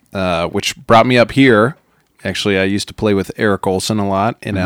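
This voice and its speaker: With an American accent, a man with an ordinary speaking voice talks at a fairly low pitch with ordinary pitch variation, in a dry, close sound with no echo. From Wyoming, Rocky Mountain US. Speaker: cinema employee, musician. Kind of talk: casual interview chat.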